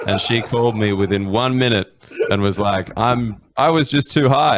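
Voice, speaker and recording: A man is speaking at a moderate pace. There is noticeable background noise. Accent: Australian. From Australia. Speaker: comedian. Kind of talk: storytelling. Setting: live stream.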